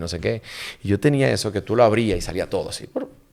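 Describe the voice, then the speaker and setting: A man talks very fast at a fairly low pitch with lively intonation. Vocal fry runs through his voice. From Dominican Republic (La Vega). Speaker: diplomat and actor. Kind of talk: casual interview chat. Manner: animated.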